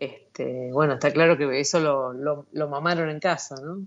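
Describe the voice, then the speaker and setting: The speaker has an Argentine accent, talks at a fairly slow pace and shows ordinary pitch variation. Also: woman. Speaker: radio host. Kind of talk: interview.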